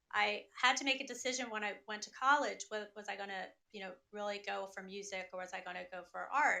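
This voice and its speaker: The woman's tone is bright and sharp. Her pace is moderate and her intonation fairly even. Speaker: singer. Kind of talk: interview answer. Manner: calm.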